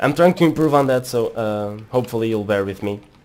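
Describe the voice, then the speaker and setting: Over noticeable background noise, a man with a non-native accent speaks. His pitch is medium, with ordinary variation. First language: not English. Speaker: gaming commentator. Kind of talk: live gameplay commentary. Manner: halting.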